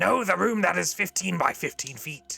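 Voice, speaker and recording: A man's raspy, put-on character voice at a fairly high pitch and a fairly slow pace, with faint music in the background. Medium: actual play. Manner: dry, aloof, condescending.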